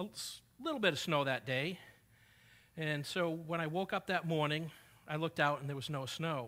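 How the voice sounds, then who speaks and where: Someone talks at a fairly quick pace with a New England accent. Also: man. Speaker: preacher. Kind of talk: sermon. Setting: church.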